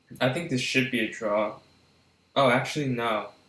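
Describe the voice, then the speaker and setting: A quiet voice with a bright, sharp tone moves at a moderate pace. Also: man. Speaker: chess streamer. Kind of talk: live commentary. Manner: animated.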